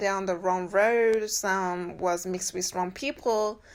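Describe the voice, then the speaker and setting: The recording is very clean, with a silent background. The intonation stays fairly even. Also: woman. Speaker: spiritual healing coach. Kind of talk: spiritual coaching talk. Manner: slow.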